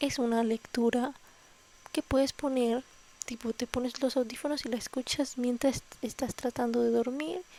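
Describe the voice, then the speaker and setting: Soft-spoken and fairly slow, the voice has a dark, mellow tone, fairly even intonation and very even loudness, in a dry, close sound with no echo. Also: woman, high pitch for a woman. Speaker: ASMR reader. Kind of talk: casual intro to camera. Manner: soft, slow.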